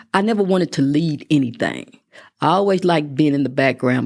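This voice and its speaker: Vocal fry and a Texan accent come through at a fairly quick pace on a very clean recording with a silent background. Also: woman. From West Texas (Midland). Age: 60s. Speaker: constable. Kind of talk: interview.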